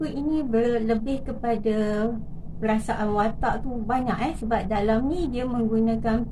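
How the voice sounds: Natural voice for reading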